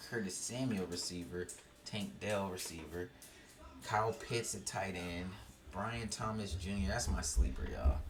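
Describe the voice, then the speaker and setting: Against music in the background and audible room echo, a man with a very deep, low pitch talks at a moderate pace with lively intonation. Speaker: gaming streamer and fantasy football content creator. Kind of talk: casual solo commentary while building fantasy lineups. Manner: mumbling, thinking out loud.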